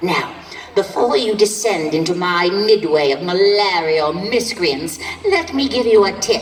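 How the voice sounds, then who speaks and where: A female-sounding voice does a put-on character voice against clear background noise. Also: medium pitch for a woman, moderate pace. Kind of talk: horror hostess showmanship. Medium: stage play. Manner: theatrical, gloating, cackling.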